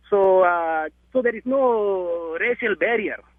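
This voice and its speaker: A man with an Indian accent and lively intonation. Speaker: musician. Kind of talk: interview.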